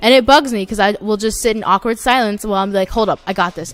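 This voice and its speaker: Music plays behind a woman speaking at a very fast pace. Her intonation stays fairly even. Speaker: YouTuber, gaming commentator. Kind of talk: casual gameplay commentary. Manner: halting, with restarts and filler words.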